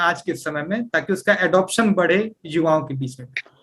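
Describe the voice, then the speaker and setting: The man's voice sits at a high pitch. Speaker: Bhojpuri-promoting team member living in Singapore. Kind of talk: radio interview answer. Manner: explanatory, mixes English words into Hindi and Bhojpuri.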